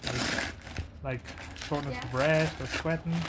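Amid loud background noise, a man talks with ordinary pitch variation. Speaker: vlogger. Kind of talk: casual vlog chat. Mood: shaken, recounting scare. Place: home room. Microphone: phone near.

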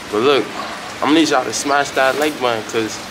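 Noticeable background noise behind a man at a fairly quick pace. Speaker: food vlogger. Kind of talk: casual vlog chat. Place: street. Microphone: phone near.

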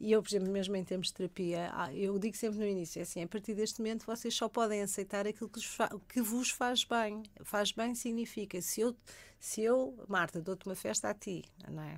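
Her pitch sits in the medium range for a woman, moving in an ordinary way as she speaks at a fairly quick pace. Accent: European Portuguese. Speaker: sexologist. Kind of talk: radio interview. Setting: radio studio.

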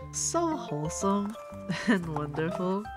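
Over clear background music, a woman speaks at a very slow pace with lively intonation in a dry sound with no echo. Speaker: sticker artist and small business owner. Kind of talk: casual talk to camera, packing ASMR. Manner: slow, calming, soft. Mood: grateful, warm. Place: home room.

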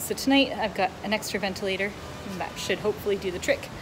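Over music in the background, a woman speaks with ordinary pitch variation. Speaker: family travel vlogger. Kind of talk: casual vlog chat. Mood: cheerful, chatty. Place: home room. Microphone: phone near.

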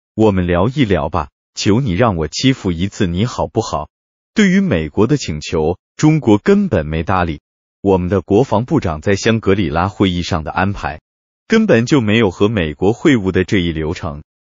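A man with a plain, everyday voice talks at a moderate pace, his fairly low pitch carried by lively intonation. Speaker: political commentary narrator. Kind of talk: scripted narration.

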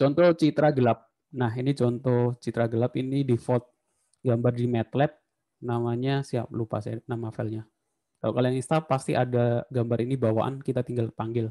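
Against a quiet background, a man speaks with fairly even intonation in a dark, mellow tone. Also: moderate pace. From Indonesia. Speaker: university lecturer. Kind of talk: lecture. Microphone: video call.

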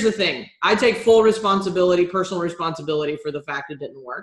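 An American accent over a quiet background, with audible room echo. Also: woman. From Texas, Houston. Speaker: business strategist; business coach, interview guest. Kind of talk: interview. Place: home room. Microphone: webcam.

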